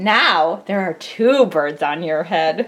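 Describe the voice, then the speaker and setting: A female-sounding put-on character voice speaks very slowly at a fairly low pitch. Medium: read story. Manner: cheerful, upbeat.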